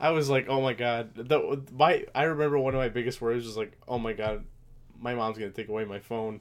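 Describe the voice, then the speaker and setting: With an American accent, an unremarkable speaking voice moves at a fairly quick pace with fairly even intonation on a very clean recording over a silent background. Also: man, medium pitch for a man. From US Midwest, Aurora, Illinois. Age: 20s. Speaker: podcast co-host, soldier. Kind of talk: casual chat. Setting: same room as co-host.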